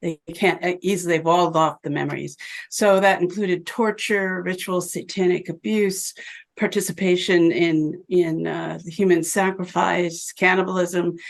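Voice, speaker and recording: A woman with an American accent speaks at a moderate pace in a fairly low voice with vocal fry and monotone, flat intonation. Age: 70s. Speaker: physician and abuse survivor. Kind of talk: interview testimony. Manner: halting.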